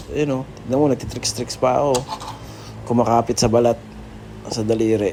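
Delivery is at a fairly quick pace, broken by long, frequent pauses. Noticeable background noise runs underneath. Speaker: hobby video creator. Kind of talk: tutorial. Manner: halting; casual, improvised.

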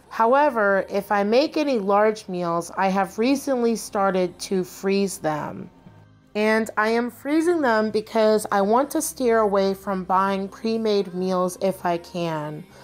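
A woman talks at a fairly slow pace. Music plays in the background. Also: ordinary pitch variation. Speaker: home vlogger. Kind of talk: narrated vlog voice-over.

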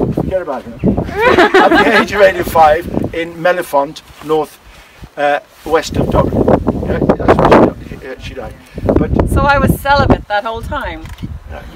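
Over noticeable background noise, a man with an Irish accent speaks at a fairly slow pace in a theatrical, animated tone, with long, frequent pauses and big swings in loudness. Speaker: tour guide. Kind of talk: live interactive history storytelling to a tour group, casting visitors as characters. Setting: outdoors at a monastic site with a live tour group. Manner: animated, jokey performer, bursting into laughter and playful asides; theatrical, acting out kings and commanding the group.

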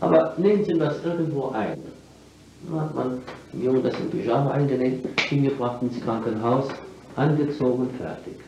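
A man at a moderate pace with ordinary pitch variation and long, frequent pauses, over audible room echo and light background noise. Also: medium pitch for a man. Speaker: lecturer. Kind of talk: public lecture. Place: hall. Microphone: old recording.

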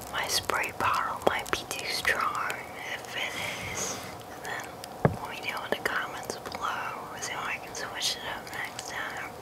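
Whispering at a fairly slow pace, a man swings widely in loudness over noticeable background noise. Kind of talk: ASMR talk to camera. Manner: soft-spoken, whispery.

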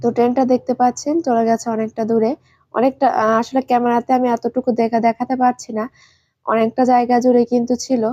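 Her pitch high, a woman speaks with monotone, flat intonation. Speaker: vlogger. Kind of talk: travel vlog narration.

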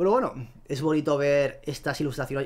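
The man talks at a moderate pace. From Spain. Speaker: YouTuber presenting paleoart; paleoart commentator. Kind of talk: casual video commentary. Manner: hesitant, with fillers and repetitions. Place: home room. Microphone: headset.

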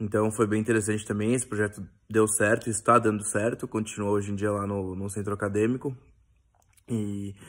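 In a very clean recording with a silent background, a man with a fairly low pitch talks at a fairly quick pace in a flat monotone. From São Paulo, Brazil. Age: 20s. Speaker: recent marketing graduate. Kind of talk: self-introduction video. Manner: frequent fillers and hesitations.

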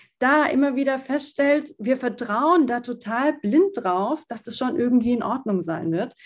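A woman talks at a fairly slow pace in a high pitch. The background is quiet. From southern Germany, small town. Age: 30s. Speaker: fashion designer and founder; podcast guest. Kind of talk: interview. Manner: hesitant with many fillers. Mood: calm, thoughtful. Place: home room. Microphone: video call.

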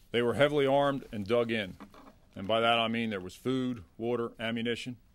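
With fairly even intonation, a man speaks at a fairly quick pace. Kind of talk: press briefing statement. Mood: formal, measured. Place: hall. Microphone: podium.

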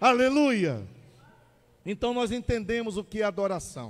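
Delivering his words at a fairly slow pace, a man speaks in an animated tone. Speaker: preacher. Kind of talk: sermon. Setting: church. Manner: fervent, call-and-response style.

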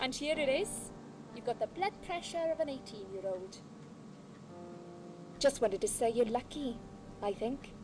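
Music plays behind a woman with a Welsh accent whose high, warm voice moves at a moderate pace with very wide pitch swings. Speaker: nurse character in a video game. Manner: chatty, warm.

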